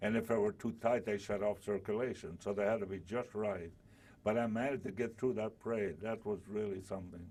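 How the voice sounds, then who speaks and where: With a dark, mellow tone, a man speaks fairly quickly at a fairly low pitch and with fairly even intonation. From southern Italy, then Altoona, Pennsylvania. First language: Italian. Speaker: war veteran. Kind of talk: oral history interview. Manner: halting.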